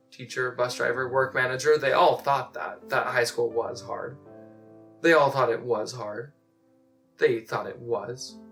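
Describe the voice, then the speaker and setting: A man with ordinary pitch variation, music playing in the background. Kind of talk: slam poetry performance.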